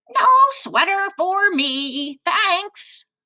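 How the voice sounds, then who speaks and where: An extremely high, squeaky put-on character voice from a woman, with very wide pitch swings. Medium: read story.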